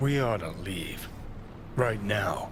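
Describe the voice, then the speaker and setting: A man's put-on character voice against loud background noise. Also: fairly low pitch for a man. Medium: short film. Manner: sarcastic, blunt.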